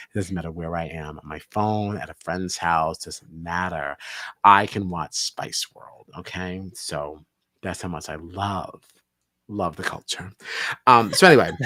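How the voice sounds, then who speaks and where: Someone with an American accent speaks at a fairly slow pace in an animated, bright and sharp tone. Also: man, very deep, low pitch for a man. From United States. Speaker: podcast co-host. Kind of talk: casual chat.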